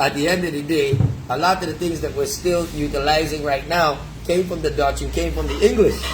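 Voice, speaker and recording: A man with an American accent at a fairly quick pace, noticeable background noise and audible room echo around him. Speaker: live stream host. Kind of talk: heated debate. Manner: animated.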